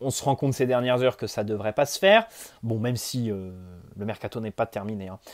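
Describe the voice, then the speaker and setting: Against a quiet background, a man speaks at a fairly quick pace broken by long, frequent pauses. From France. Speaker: football YouTuber. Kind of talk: solo video commentary; casual commentary. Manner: casual, hesitant with fillers. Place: home room. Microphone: earbuds.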